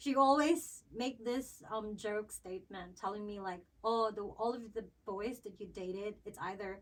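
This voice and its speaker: The speaker has a Visayan Filipino accent, a moderate pace, and ordinary pitch variation. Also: woman, fairly high pitch for a woman. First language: Cebuano. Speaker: podcast co-host. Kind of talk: casual chat. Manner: hesitant, many fillers.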